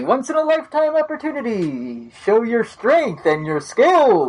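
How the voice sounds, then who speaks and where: Shouting in a put-on character voice, the speaker goes at a moderate pace with a fairly high pitch and very wide pitch swings. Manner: yelling.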